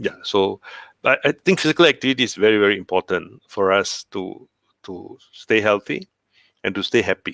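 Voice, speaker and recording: A man's voice at a moderate pace with long, frequent pauses, dry and close with no echo, in a very clean recording with a silent background. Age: 60s. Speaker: cancer survivor. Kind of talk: interview. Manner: hesitant, many fillers.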